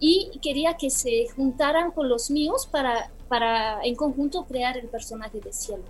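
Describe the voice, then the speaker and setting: In a Romanian accent, a woman speaks at a fairly slow pace with a high pitch and lively intonation. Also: hardly any pauses. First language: Romanian (speaking Spanish). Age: 40s. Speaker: film director. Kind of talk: interview. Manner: halting.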